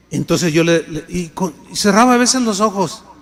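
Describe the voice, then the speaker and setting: Noticeable background noise under lively intonation. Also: man. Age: 60s. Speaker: pastor. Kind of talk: sermon.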